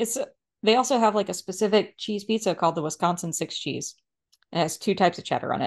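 Speaking at a very fast pace, a woman uses an American accent. Her medium pitch varies ordinarily against a quiet background. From US South. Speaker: podcast co-host. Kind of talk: casual chat.

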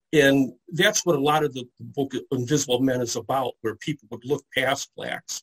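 Speaking at a moderate pace with hardly any pauses, a man with an American accent has a somewhat breathy, fairly high voice. His intonation is fairly even, and the sound is dry and close with no echo. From US Midwest, Detroit area. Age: 60s. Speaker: comic book historian. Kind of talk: interview.

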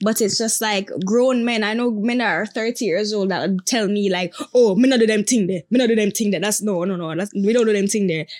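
A woman with a Jamaican accent talks at a moderate pace and a fairly high pitch with fairly even intonation and hardly any pauses, in a very clean recording with a silent background. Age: 20s. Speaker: TikTok creator. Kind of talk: casual interview chat.

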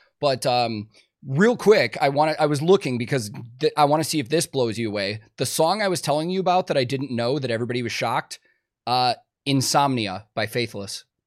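The speaker has a Chicago accent and lively intonation at a fairly quick pace. The recording is very clean, with a silent background. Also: man, medium pitch for a man. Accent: leveled-out Chicago American. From Chicago, US. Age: 30s. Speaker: podcast host and touring guitar tech. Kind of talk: casual interview chat. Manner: casual, chatty.

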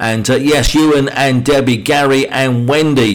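There is noticeable background noise as a man with a British accent talks at a fairly slow pace with fairly even intonation. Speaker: radio DJ. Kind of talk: radio DJ patter. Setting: radio studio broadcast. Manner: warm, friendly, chatty.

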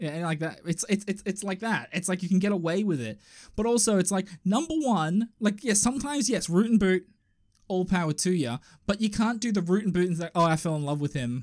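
Lively intonation marks this fairly quick speech in an Australian accent. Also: man, high pitch for a man. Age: 30s. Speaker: podcast co-host. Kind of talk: casual chat. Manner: animated.

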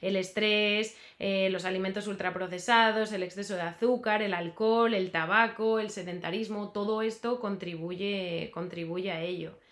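With an unremarkable speaking voice, a woman speaks at a medium pitch and a fairly slow pace, her intonation fairly even and hardly any pauses between words. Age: 30s. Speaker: dietitian and health coach. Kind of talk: casual interview.

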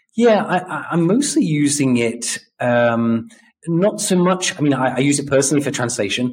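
A man with a British accent, fairly high-pitched, at a moderate pace with lively intonation. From UK. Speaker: podcast host. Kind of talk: interview chat.

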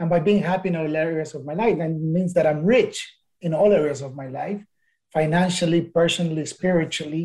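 This man talks at a fairly quick pace in a Spanish accent, his high-pitched voice dark and mellow, his intonation fairly even and his loudness swinging widely. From Ecuador. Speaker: entrepreneur and business mentor. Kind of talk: interview. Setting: podcast interview.

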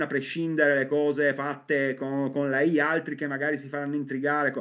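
The man's pitch is fairly high. He moves through his words at a fairly quick pace. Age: 40s. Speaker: comics writer and novelist. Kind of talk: casual chat.

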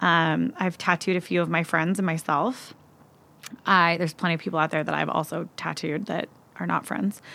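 In an American accent, a woman with a fairly low pitch, bright, sharp tone and vocal fry talks at a moderate pace with ordinary pitch variation, on a very clean recording with a silent background. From US Pacific Northwest, Seattle. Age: 30s. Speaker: hairstylist and nonprofit founder. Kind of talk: casual interview chat. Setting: podcast recording.

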